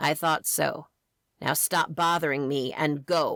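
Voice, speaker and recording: A woman uses a raspy put-on character voice with a very deep, low pitch at a fairly slow pace. The recording is very clean with a silent background. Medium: read story. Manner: mocking, contemptuous.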